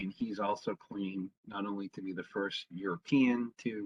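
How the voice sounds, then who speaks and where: A man with an American accent at a moderate pace, the sound dry and close with no echo. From Boston area, Massachusetts. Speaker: local historian. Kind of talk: lecture. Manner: hesitant, many fillers.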